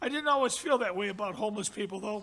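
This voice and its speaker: With an American accent, a man in a raised, projected voice with a bright, sharp tone speaks at a fairly quick pace and ordinary pitch variation. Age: 80s+. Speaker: award recipient. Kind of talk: acceptance speech.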